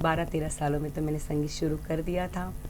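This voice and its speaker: With music in the background and audible room echo, a woman with a Gujarati accent speaks in a very deep, low pitch. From Gujarat, India. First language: Gujarati (speaking Hindi). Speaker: folk singer. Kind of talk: interview. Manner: halting.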